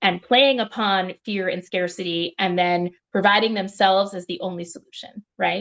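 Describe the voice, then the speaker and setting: Speaking with hardly any pauses, a woman at medium pitch shows big swings in loudness. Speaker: author. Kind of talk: panel discussion. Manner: fast; animated.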